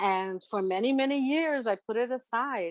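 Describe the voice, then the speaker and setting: Lively intonation at a fairly slow pace, dry with no echo and a quiet background. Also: woman. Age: 60s. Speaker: artist and tarot reader; interviewee. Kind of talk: interview. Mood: warm, reflective, encouraging. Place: home room. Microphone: video call.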